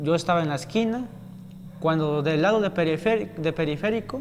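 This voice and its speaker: Noticeable background noise sits behind a man whose high voice has ordinary pitch variation. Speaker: student at a rural teacher-training college, attack survivor. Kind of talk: interview testimony.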